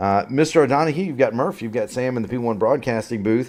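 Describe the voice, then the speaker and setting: A man speaks at a medium pitch with ordinary pitch variation. It is an unremarkable speaking voice. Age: 40s. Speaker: sim racing broadcast commentator. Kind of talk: post-race interview.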